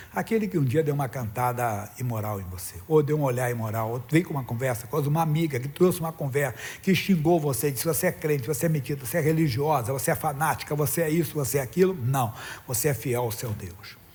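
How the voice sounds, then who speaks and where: Very fast speech with lively intonation and audible room echo. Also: man, fairly high pitch for a man. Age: 60s. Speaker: pastor. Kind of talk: sermon.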